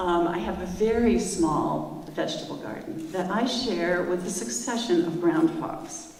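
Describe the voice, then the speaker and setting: Noticeable background noise surrounds a woman speaking with an American accent and lively intonation. Her pace is fairly slow, yet she leaves hardly any pauses. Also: fairly low pitch for a woman. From US Midwest, St. Louis, Missouri. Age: 60s. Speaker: storyteller, land trust director. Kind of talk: personal storytelling at an event. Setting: stage with audience.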